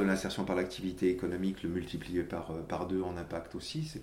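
Audible room echo surrounds a man whose voice is very deep and low. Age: 50s. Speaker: corporate social responsibility director. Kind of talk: interview. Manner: halting, frequent repetitions.

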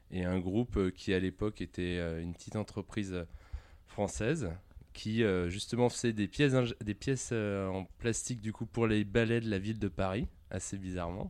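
Against a quiet background, a man with an ordinary speaking voice talks at a moderate pace, with a fairly low pitch and fairly even intonation. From France, Lyon area. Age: 20s. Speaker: engineer and operations executive. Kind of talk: interview.

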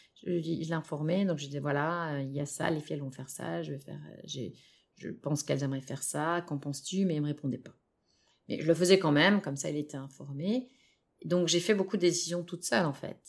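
A woman's very deep, low voice at a very fast pace, with ordinary pitch variation, big swings in loudness, and a very clean recording against a silent background. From France. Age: 40s. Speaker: separated parent and stepmother. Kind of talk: interview testimony. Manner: halting, many fillers.

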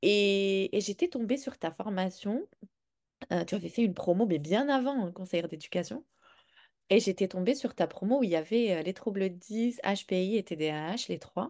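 A woman with a dark, mellow tone and medium pitch speaks at a fairly slow pace with lively intonation against a quiet background. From Morocco. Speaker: parenting coach for neurodivergent children. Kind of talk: interview testimony.

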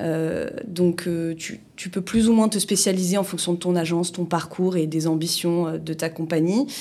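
Dark and mellow in tone, this voice shows ordinary pitch variation. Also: woman. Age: 30s. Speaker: insurance agent and business owner. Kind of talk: interview. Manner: hesitant, many fillers.

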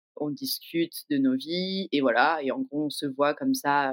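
The talking proceeds very slowly, and the pitch varies in an ordinary way. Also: woman. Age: 30s. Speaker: podcast guest telling her love story. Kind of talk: personal storytelling. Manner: casual, hesitant with fillers.

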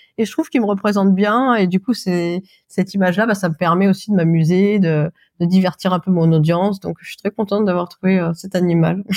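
Her delivery is fairly quick, with fairly even intonation and big swings in loudness. This woman has a plain, everyday voice at medium pitch, recorded dry and close with no echo. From France, Auvergne. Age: 30s. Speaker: video creator for businesses. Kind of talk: casual interview chat.

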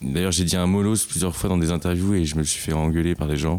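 At a fairly quick pace, a man with a very deep, low pitch talks in fairly even intonation. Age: 20s. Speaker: mental health association co-founder. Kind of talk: casual interview. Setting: at home in his apartment.

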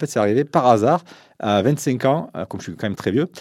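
Here a man speaks with a dark, mellow tone. His intonation is lively.

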